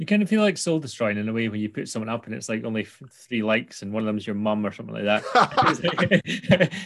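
Speaking at a very fast pace with hardly any pauses, a man with a Scottish accent uses a medium pitch and lively intonation. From Scotland, Angus. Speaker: podcast host. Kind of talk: casual interview chat; podcast intro.

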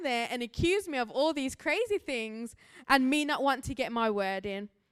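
A woman with an English accent speaks at a high pitch with very wide pitch swings and a moderate pace, in a very clean recording with a silent background. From England, Birmingham. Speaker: missionary and guest preacher. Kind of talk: sermon. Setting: church.

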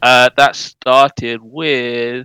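A bright, sharp tone in a dry, close sound with no echo. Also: man. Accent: London. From London, England. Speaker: video game community manager. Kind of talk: casual interview chat.

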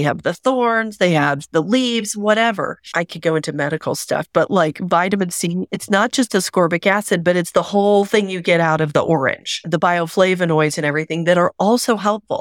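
A woman with a normal speaking voice in an American accent, at a medium pitch and moderate pace, with ordinary pitch variation, hardly any pauses, and a dry, close sound with no echo on a very clean recording with a silent background. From Oklahoma. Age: 50s. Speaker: intuitive reader. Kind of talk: interview conversation.

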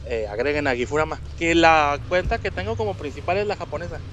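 The voice belongs to a man. Behind him, background noise is clearly noticeable. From Mexico, Monterrey. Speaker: video game podcast guest. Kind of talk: casual chat.

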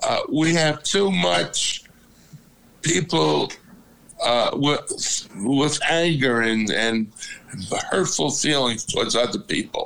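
A man with an American accent speaks at a very slow pace, leaving long, frequent pauses. His loudness stays very even. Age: 80s. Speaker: father of host. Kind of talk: casual family chat. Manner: loud, talkative.

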